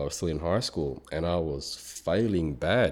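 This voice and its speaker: In an Australian accent, a man talks with a very deep, low pitch. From Australia, Melbourne. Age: 30s. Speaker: fitness professional, bodybuilder. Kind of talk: casual interview.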